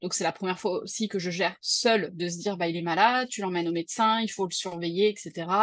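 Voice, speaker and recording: A woman talks at a very fast pace. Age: 30s. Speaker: freelancer and mother. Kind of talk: personal testimony interview. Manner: hesitant, many fillers.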